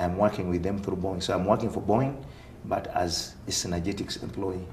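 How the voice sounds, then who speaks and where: With a strong Ugandan accent, a man speaks at a very fast pace in a fairly low pitch with fairly even intonation, over noticeable background noise. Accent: thick African (Ugandan). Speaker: aerospace engineering consultant. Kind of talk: interview.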